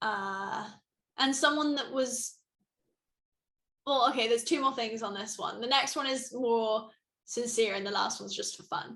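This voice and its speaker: Speaking at a moderate pace with long, frequent pauses, a woman with a British accent has a high pitch, ordinary pitch variation and a bright, sharp tone. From Britain. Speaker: suicide awareness ambassador. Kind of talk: interview. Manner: animated.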